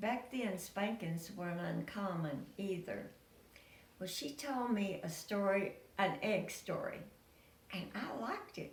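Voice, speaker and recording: Amid noticeable background noise and audible room echo, a woman talks at a fairly slow pace and medium pitch with ordinary pitch variation. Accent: rural Tennessee. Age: 90s. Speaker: storyteller. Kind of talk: oral storytelling, family memories.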